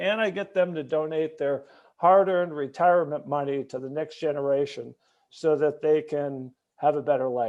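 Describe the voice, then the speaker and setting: With fairly even intonation, a man speaks in an unremarkable speaking voice at a moderate pace and a fairly high pitch. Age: 60s. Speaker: retired chemistry teacher, panelist. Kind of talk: panel discussion introduction.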